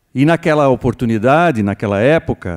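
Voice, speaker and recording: Dark, mellow tone at a fairly slow pace with very wide pitch swings, quiet background. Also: man. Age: 70s. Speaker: veteran brewer and consultant. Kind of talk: panel discussion. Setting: stage with audience. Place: stage. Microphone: handheld.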